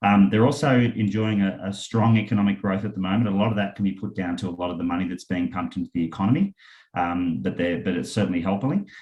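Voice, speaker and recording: The speaker has an Australian accent and talks at a very fast pace. Pitch varies in an ordinary way. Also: man, fairly low pitch for a man. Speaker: property investment company founder. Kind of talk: webinar presentation. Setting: online webinar with screen share. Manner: hesitant, many fillers.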